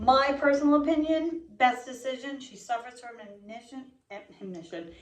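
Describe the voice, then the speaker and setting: Lively intonation and a high pitch from a woman, in audible room echo. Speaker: true crime podcast co-host. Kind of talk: casual chat.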